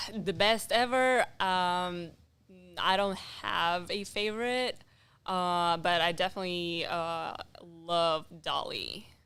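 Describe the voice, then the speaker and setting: A woman's bright, sharp voice with a non-native accent, at a very slow pace. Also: medium pitch for a woman, ordinary pitch variation. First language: not English. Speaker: amateur painter. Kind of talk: casual chat. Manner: halting.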